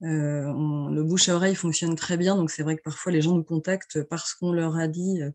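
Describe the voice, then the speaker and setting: At a moderate pace and with hardly any pauses, a woman speaks in a fairly low pitch with monotone, flat intonation. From France, Vendée coast. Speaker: travel agency founder. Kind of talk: interview. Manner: hesitant, many fillers.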